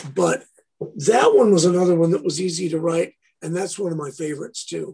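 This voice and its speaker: This man's voice sits at a fairly high pitch. Vocal fry runs through it. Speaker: guitarist and producer. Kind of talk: casual interview chat.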